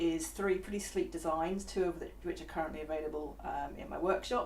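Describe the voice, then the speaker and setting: Fairly quick speech from a woman in a room with audible echo. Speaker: VR software developer. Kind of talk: live stream chat. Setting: online live stream. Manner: quiet. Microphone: far from the mic.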